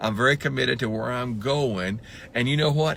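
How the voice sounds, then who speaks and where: The speech comes at a very fast pace with an animated tone and ordinary pitch variation. Noticeable background noise runs underneath. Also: man. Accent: Southern US. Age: 60s. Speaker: motivational speaker. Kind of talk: motivational talk.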